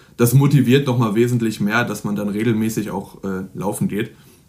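A man speaks in a normal speaking voice at a fairly low pitch. His pace is fairly quick and his intonation fairly even. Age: 20s. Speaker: student and fitness blogger. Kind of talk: interview.

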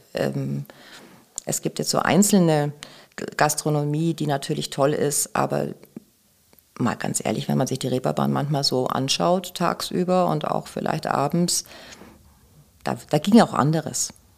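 Long pauses come often as the woman talks. Her delivery is fairly slow. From Bavaria, Germany. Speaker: sex shop employee and author. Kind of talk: casual interview chat.

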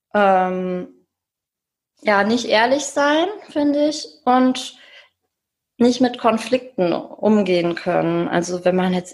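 This woman talks at a very slow pace. Her pitch sits in the medium range. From Germany, rural edge of the Ruhr area. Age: 30s. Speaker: single guest on dating podcast. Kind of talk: interview, casual chat. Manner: hesitant, many fillers.

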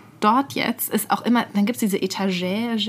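A woman's normal speaking voice at a medium pitch, moderate pace and ordinary pitch variation. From Bad Mergentheim, Baden-Württemberg, Germany. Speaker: podcast co-host, journalist. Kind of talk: casual chat. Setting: studio.

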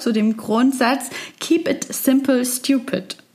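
There is noticeable background noise in this clip. A woman speaks at a fairly slow pace. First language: German. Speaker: reporter. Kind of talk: narrated report in German.

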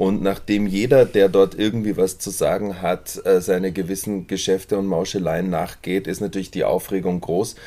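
The man has a dark, mellow tone and fairly even intonation. He keeps a moderate pace with hardly any pauses. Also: fairly low pitch for a man. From Munich, Bavaria. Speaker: stage actor. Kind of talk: interview. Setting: outdoors in a courtyard.

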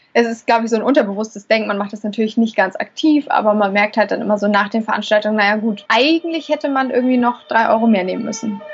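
A woman at a fairly high pitch and a very fast pace, with ordinary pitch variation. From Hamburg. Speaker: chef and restaurant owner. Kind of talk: interview.

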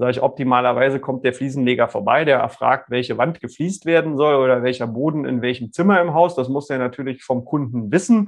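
A man speaks at a very fast pace with hardly any pauses. His medium pitch carries ordinary pitch variation. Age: 40s. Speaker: lawyer. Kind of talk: casual interview. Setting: video call.

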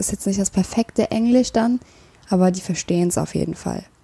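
A woman's dark, mellow voice at medium pitch and a moderate pace. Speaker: mental health podcaster. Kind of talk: personal monologue with self-help tips. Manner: hesitant, many filler sounds.

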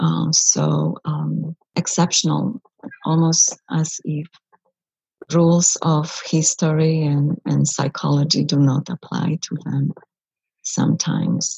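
A woman speaks at a very slow pace, with long, frequent pauses. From Poland, Bydgoszcz. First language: Polish (speaking German). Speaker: psychologist. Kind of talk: interview.

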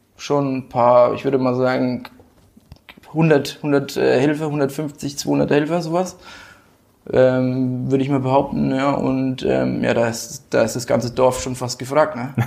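A man's monotone, flat intonation at a very slow pace. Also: medium pitch for a man. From Rhön region, Lower Franconia, Germany. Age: 20s. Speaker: football club board member. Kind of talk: casual interview.

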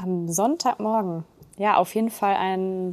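The speaker has a plain, everyday voice. Delivery is at a moderate pace with fairly even intonation. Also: woman. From Germany, Ruhr area (Duisburg). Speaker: municipal administrator. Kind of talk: podcast interview.

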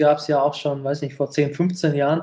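A somewhat breathy man speaks at a fairly quick pace and a fairly high pitch, in a monotone, flat intonation. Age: 30s. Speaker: podcast host. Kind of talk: casual chat.

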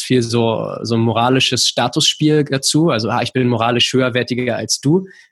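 The man, in a normal speaking voice, keeps a medium pitch and moderate pace, his intonation fairly even. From Berlin, Germany. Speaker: rowing coach. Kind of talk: casual chat.

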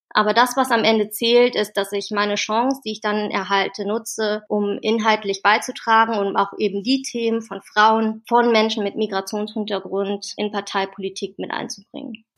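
A woman talks in a fairly high pitch with monotone, flat intonation. Her pace is moderate, and she hardly pauses at all. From Germany, Wuppertal. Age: 30s. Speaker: political youth organization leader. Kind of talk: interview. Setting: remote call.

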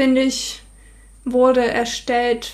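Speaking very slowly, a woman uses a high-pitched voice. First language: not German (speaking German). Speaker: software developer. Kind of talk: casual chat. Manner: halting.

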